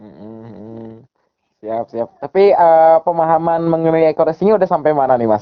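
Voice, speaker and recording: A man with an unremarkable speaking voice, fairly high in pitch, at a moderate pace, with lively intonation and big swings in loudness. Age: 20s. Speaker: network marketing recruiter. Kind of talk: sales pitch. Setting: phone call.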